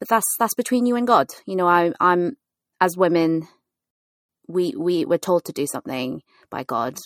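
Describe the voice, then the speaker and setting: Speech moves at a moderate pace with very wide pitch swings and long, frequent pauses. The sound is dry and close, with no echo. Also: woman, fairly low pitch for a woman. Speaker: podcast host and pastor. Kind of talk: casual chat. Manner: animated.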